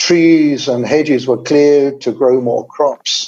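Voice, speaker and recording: This man speaks with a southern English accent, his pitch fairly high and his intonation fairly even. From England, London. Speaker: environmental specialist. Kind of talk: webinar talk. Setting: webinar.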